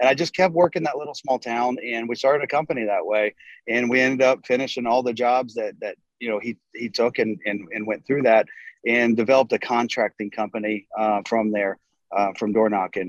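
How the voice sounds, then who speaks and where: An unremarkable speaking voice from a man, medium in pitch with ordinary pitch variation, fairly quick, in a dry, close sound with no echo. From North Carolina. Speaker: roofing contractor, company co-founder. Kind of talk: casual interview.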